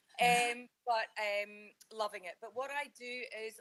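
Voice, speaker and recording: The speaker is a woman. Her voice comes across bright and sharp. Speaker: leadership consultant, entrepreneur. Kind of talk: radio interview.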